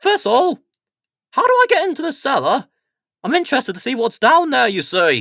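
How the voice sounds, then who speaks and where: A man's put-on character voice, extremely high-pitched and fairly quick, broken by long, frequent pauses. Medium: read story. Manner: fussy, grumbling.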